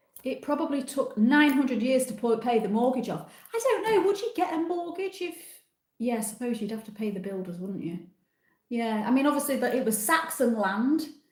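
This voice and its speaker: A woman with a Yorkshire accent talks at a fairly quick pace in a high pitch. Her pitch swings very widely, and room echo is audible. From Yorkshire, northern England. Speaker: travel vlogger. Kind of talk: live stream chat with viewers. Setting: live stream from a different room at home. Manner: casual, chatty.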